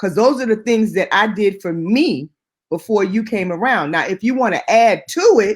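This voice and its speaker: Lively intonation marks this moderately paced delivery in an American accent. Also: woman, fairly high pitch for a woman. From New York, Queens. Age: 50s. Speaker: house music singer. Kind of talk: interview.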